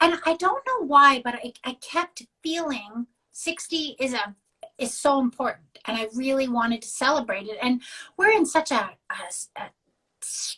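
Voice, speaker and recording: A raised, projected voice with a bright, sharp tone carries big swings in loudness. The sound is dry and close, with no echo. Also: woman, high pitch for a woman, lively intonation, moderate pace. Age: 50s. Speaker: podcast guest. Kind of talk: casual chat. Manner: halting.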